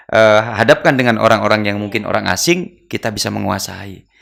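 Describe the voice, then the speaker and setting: A man speaks very fast in a bright, sharp tone. The recording is very clean with a silent background. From East Java. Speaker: interviewer at Islamic boarding school channel. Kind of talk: interview.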